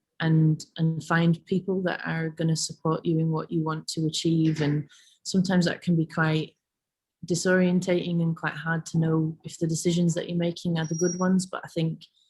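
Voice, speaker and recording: A woman's somewhat breathy voice, fairly low in pitch, monotone and flat, at a moderate pace. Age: 30s. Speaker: laundrette project founder, arts worker. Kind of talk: online careers talk. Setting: video call. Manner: hesitant, many fillers.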